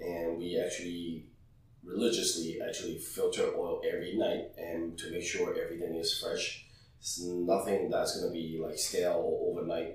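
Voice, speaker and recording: Male speech at a moderate speed, plus noticeable background noise and audible room echo. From Hong Kong. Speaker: restaurant head chef. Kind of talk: interview.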